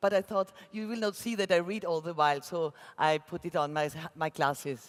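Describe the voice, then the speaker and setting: A woman with an Austrian accent, fairly low in pitch, fairly quick, with ordinary pitch variation. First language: German. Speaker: graphic designer. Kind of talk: keynote talk read from script. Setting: conference stage with audience. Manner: reading aloud, careful.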